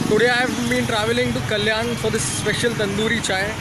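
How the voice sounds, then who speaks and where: There is loud background noise around this recording. Over it, a man talks at a fairly quick pace. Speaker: food vlogger. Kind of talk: casual vlog chat. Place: street. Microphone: phone near.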